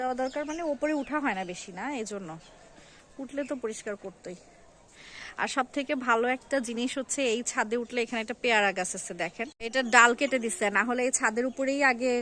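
With a bright, sharp tone, a woman speaks at a fairly high pitch with ordinary pitch variation. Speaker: lifestyle vlogger. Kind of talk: vlog narration. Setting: outdoors on a rooftop.

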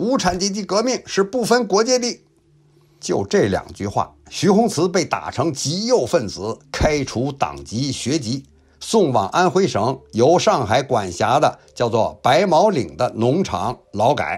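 A man with a fairly high pitch and vocal fry speaks at a very slow pace. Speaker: YouTube history storyteller. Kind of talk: storytelling narration. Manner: lively, colloquial storyteller style.

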